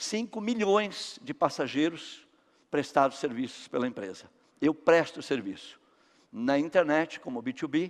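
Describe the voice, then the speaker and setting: Pitch swings very widely throughout. The pace is fairly slow. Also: man, fairly high pitch for a man. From Brazil, São Paulo. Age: 60s. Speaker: company founder and speaker. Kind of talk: motivational talk.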